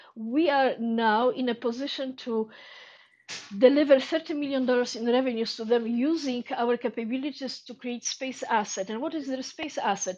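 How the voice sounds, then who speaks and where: A woman with a Polish accent speaks at a moderate pace in a high voice. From Poland. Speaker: space entrepreneur. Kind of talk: audience question during Q&A. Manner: halting.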